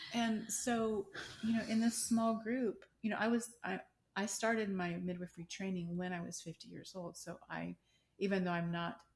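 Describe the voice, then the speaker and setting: A somewhat breathy woman at a moderate pace, her intonation fairly even. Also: medium pitch for a woman. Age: 60s. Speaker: midwife. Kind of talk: interview conversation.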